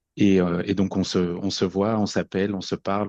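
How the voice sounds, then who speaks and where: A fairly low-pitched man's monotone, flat delivery at a moderate pace, dry and close with no echo. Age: 40s. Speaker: podcast guest sharing personal story. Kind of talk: personal testimony. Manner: halting, many repetitions and fillers.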